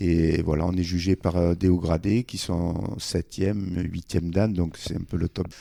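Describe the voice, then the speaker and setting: A man with a very deep, low pitch and a dark, mellow tone, monotone and flat in intonation, at a fairly slow pace with hardly any pauses, on a very clean recording with a silent background and a dry, close sound with no echo. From Morocco (French family). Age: 60s. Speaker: judo club founder and coach. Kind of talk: radio interview. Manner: hesitant, many fillers.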